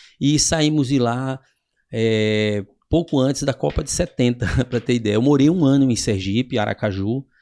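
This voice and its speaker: Ordinary pitch variation and a moderate pace mark this man's dark, mellow tone. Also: medium pitch for a man. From Northeast Brazil, Paraíba then Recife. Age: 60s. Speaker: physical education professional. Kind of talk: podcast interview.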